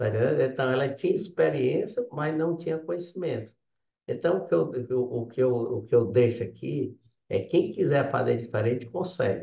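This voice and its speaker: A man speaks at a moderate pace and medium pitch, his tone dark and mellow with vocal fry. His intonation is lively. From Ceará, Brazil. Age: 60s. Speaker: civil engineer, business owner. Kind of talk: interview. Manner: halting, with many fillers.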